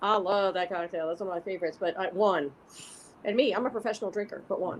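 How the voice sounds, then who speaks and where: Against noticeable background noise, a woman at medium pitch talks at a very fast pace in an animated tone with ordinary pitch variation. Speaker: drag performer making a cocktail. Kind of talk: casual chat. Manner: loud.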